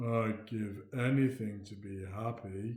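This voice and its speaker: Putting on a character voice, a man speaks at a medium pitch, fairly slowly and in a flat monotone. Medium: read story. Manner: mournful, sniffy.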